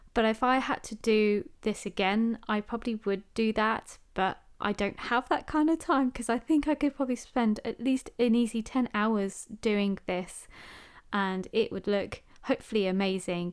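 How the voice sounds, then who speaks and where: A woman speaks at a moderate pace with a fairly high pitch. Her pitch varies in an ordinary way, and the recording is very clean, with a silent background. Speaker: book and journaling vlogger. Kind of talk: casual craft voiceover. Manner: young-sounding; chatty, rambling.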